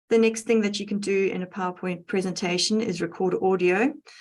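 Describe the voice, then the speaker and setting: A woman speaks with a South African accent. Her pitch is medium. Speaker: educational technologist. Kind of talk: tutorial.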